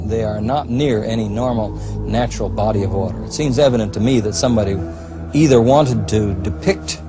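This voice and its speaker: Music plays in the background as a man with a fairly low pitch talks at a fairly quick pace. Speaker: researcher or expert interviewee. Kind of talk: interview answer.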